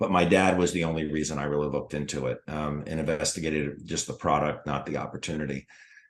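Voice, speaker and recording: A man's very deep, low voice in an American accent, fairly quick and monotone with flat intonation. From US Mid-Atlantic, Washington DC area. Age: 60s. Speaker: retired foot surgeon, network marketer. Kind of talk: interview.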